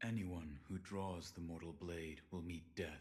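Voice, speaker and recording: A man in a put-on character voice, very deep and low-pitched, at a fairly slow pace. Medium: video game. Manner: terse, flat.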